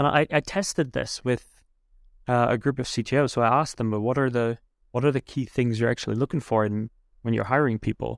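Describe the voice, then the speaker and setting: In an ordinary speaking voice, a man talks at a fairly quick pace and medium pitch with fairly even intonation, the sound dry and close with no echo and the recording very clean over a silent background. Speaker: podcast host. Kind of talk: interview conversation.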